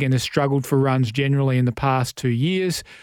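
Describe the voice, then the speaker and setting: Speaking at a fairly quick pace with an Australian accent, a man is heard on a very clean recording with a silent background. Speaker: radio host. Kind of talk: sponsored radio segment.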